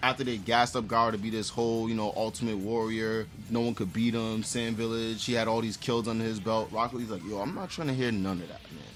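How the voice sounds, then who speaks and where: Pauses barely appear. The delivery runs at a fairly quick pace. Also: man. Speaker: anime commentary youtuber. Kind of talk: casual commentary. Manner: animated.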